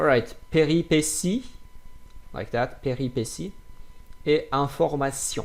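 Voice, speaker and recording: Speaking in a non-native accent at a fairly slow pace, the voice has ordinary pitch variation and long, frequent pauses. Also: man, fairly high pitch for a man. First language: French. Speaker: French teacher. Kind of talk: tutorial. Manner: halting.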